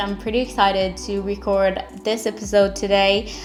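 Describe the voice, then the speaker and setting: Noticeable background noise accompanies a woman speaking at a fairly slow pace in a medium pitch. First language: French. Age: 20s. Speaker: podcaster. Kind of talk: casual monologue podcast. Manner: unscripted, unedited raw talk.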